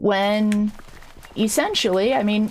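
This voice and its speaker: Noticeable background noise sits behind a woman's voice. She has a medium pitch and a fairly slow pace. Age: 40s. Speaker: streamer. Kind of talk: casual livestream talk. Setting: home livestream. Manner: hesitant, many fillers.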